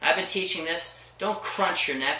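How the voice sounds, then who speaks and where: Audible room echo surrounds a man's voice. Noticeable background noise runs under it. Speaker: chiropractor. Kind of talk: informal health advice monologue. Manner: fast; animated.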